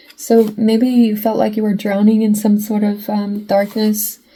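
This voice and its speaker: Against noticeable background noise, a woman with a fairly high pitch speaks at a moderate pace in a flat monotone. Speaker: tarot reader. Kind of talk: tarot reading monologue. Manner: choppy with weird pauses; halting, self-interrupting.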